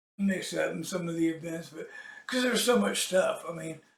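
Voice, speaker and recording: A man with a high-pitched voice. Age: 60s. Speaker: political vlogger and musician. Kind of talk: casual monologue. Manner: halting, many fillers.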